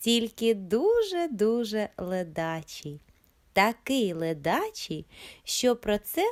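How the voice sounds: A natural reading voice. It is heard throughout.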